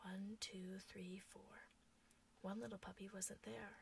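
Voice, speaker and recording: A soft-spoken woman whispers at a moderate pace. The sound is dry with no echo, with light background noise behind her. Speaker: storyteller. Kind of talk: bedtime story reading. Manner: soft, whispered. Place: home room. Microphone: webcam.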